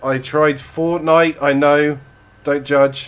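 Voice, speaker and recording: Speaking at a fairly slow pace, a man with an English accent has a fairly high pitch. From England. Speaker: streamer. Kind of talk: casual chat. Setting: live stream. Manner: halting.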